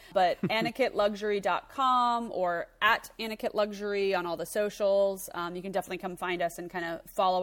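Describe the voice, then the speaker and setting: At a fairly quick pace, a woman talks in a plain, everyday voice with fairly even intonation. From Florida. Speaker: fragrance business owner. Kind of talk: interview.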